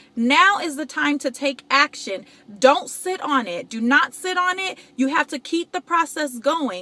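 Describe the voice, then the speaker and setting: A woman projects a raised, high-pitched voice at a moderate pace with lively intonation. The sound is dry and close with no echo, though noticeable background noise is present. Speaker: motivational vlogger. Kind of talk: motivational talk. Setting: in a car. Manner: animated.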